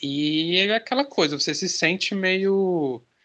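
A man with a high voice speaks in a bright, sharp tone and a lively intonation over a quiet background. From Maranhão, northeastern Brazil. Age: 30s. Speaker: comic artist. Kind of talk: interview.

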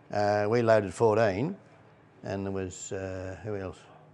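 A man with a rural Australian accent and a fairly low pitch, amid noticeable background noise. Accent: broad rural Australian. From Australia, rural Victoria (Trentham). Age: 60s. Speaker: local old-timer. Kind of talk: casual reminiscing interview. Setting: pub.

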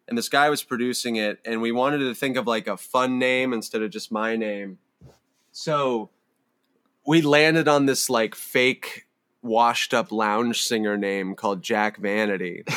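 This is a man with a normal speaking voice and an American accent. His pitch sits in the medium range. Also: ordinary pitch variation, fairly slow pace. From US West Coast, Palo Alto, California. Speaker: musician. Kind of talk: casual chat.

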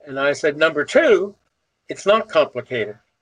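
An American accent comes through. The delivery is on the slow side. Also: man. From US Northeast (South Jersey, Salem County). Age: 70s. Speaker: civil rights activist. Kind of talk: interview storytelling.

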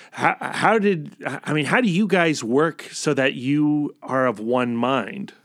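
Speaking at a very slow pace with hardly any pauses, a man uses a fairly high pitch. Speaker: podcast host. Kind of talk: casual interview.

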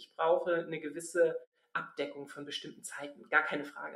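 In an ordinary speaking voice, a woman with a fairly low pitch talks at a moderate pace. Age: 40s. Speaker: general practitioner. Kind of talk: casual chat.

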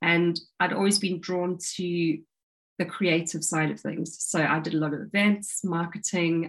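The speaker is a woman with a fairly low pitch. Her voice is somewhat breathy, at a moderate pace. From South Africa. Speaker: breathwork coach and former marketing consultant. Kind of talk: casual interview conversation.

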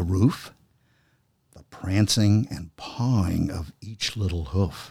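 Speaking very slowly, a man with a dark, mellow, somewhat breathy tone shows ordinary pitch variation. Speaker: podcast host. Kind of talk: dramatic poem reading, taking turns by stanza.

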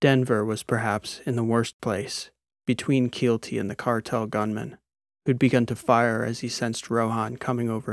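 Reading aloud in a natural voice, with little noise behind it

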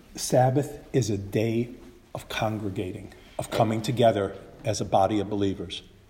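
Noticeable background noise sits behind a man with a fairly low voice speaking at a moderate pace with an American accent. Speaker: Bible teacher, preacher. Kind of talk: sermon or Bible teaching, with consecutive Spanish interpretation.

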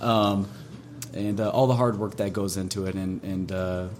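A fairly low-pitched man's voice with an American accent and fairly even intonation, against noticeable background noise. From Minnesota, rural farm. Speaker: trucking and logistics business owner. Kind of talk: casual interview.

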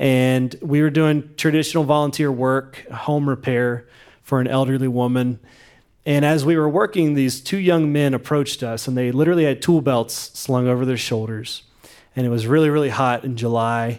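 Using a normal speaking voice, a man with an American accent speaks at a medium pitch and moderate pace, with fairly even intonation. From West Virginia. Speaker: nonprofit founder. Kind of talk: interview.

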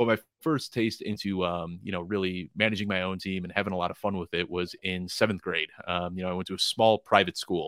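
On a very clean recording with a silent background and a dry, close sound without echo, a man with an American accent speaks fairly quickly at a very deep, low pitch in a bright, sharp tone. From Chicago. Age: 30s. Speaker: fantasy football content creator. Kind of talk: casual interview.

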